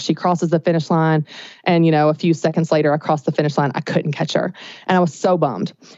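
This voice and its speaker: A woman's fairly low voice with a Southern US accent. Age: 30s. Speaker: business coach. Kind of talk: podcast interview. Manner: animated.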